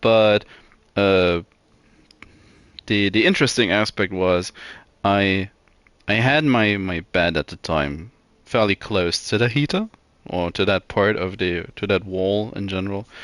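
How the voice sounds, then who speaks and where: A man with a non-native accent speaks at a fairly slow pace and fairly low pitch, with ordinary pitch variation and long, frequent pauses, in a dry, close sound with no echo. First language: not English. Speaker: video game streamer. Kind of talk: casual gameplay stream chat. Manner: hesitant, many fillers and repeats.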